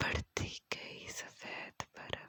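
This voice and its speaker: The voice whispers in a gentle tone, with a dry, close sound and no echo. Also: woman. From Pakistan. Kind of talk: ASMR sleep narration. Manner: whispered; gentle, soft-spoken.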